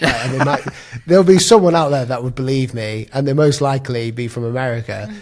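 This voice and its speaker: With a British accent and over noticeable background noise, a man of medium pitch speaks at a very fast pace. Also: ordinary pitch variation. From Britain. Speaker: graphic design YouTuber. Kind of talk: casual chat.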